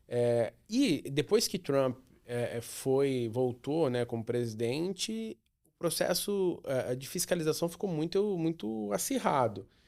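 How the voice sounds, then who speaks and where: A man's fairly high-pitched voice at a very slow pace, with very wide pitch swings on a very clean recording with a silent background. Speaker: podcast host. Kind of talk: interview.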